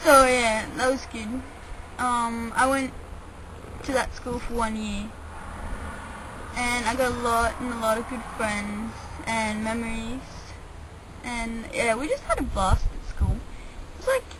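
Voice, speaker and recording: A fairly slow, monotone delivery in an Australian accent, with long, frequent pauses, noticeable background noise and audible room echo. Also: woman, fairly high pitch for a woman. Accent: Australian-tinged English. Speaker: vlogger. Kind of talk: casual chat. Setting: outdoors. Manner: rambling casual with fillers.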